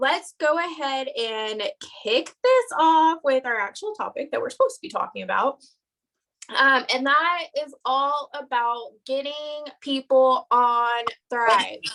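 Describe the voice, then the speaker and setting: With a bright, sharp tone and big swings in loudness, a woman talks at a fairly slow pace in a high pitch, with ordinary pitch variation. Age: 20s. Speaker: network marketing team leader. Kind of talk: live stream training. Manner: animated.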